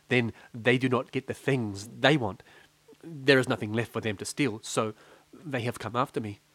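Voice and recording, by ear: The intonation stays fairly even as the speaker is reading aloud in a natural voice.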